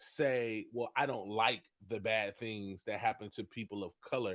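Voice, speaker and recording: The speaker is loud and animated in tone, talking at a moderate pace. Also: man. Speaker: coffee business owner and livestream host. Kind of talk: livestream talk. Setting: instagram live video.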